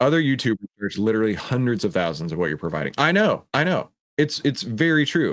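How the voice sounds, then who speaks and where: On a very clean recording with a silent background, a man talks at a very fast pace with vocal fry and very wide pitch swings. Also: medium pitch for a man. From Texas. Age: 30s. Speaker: trading educator. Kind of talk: live stream Q&A. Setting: studio with green screen. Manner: animated; casual.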